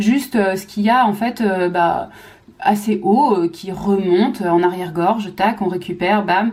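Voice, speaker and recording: This woman's somewhat breathy voice sits at a medium pitch and moves with ordinary pitch variation. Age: 30s. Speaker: physiotherapist and mother vlogger. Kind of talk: casual talk to camera. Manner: fast; hesitant with many fillers.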